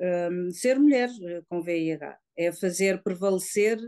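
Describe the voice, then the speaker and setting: Over a quiet background, a woman with a dark, mellow tone speaks at medium pitch. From Lisbon district, Portugal. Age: 50s. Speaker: woman living with HIV, association member. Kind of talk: personal testimony. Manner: halting, hesitant.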